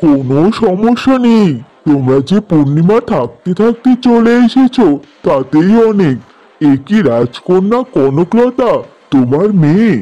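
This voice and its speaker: A man uses a cartoonish character voice, high in pitch with very wide pitch swings. He speaks at a fairly slow pace. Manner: measured, solemn.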